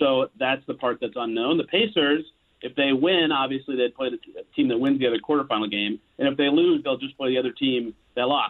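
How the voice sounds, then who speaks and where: A man speaks in a normal speaking voice at medium pitch, with ordinary pitch variation and a fairly quick pace. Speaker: sportswriter and podcaster covering basketball. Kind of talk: sports radio interview.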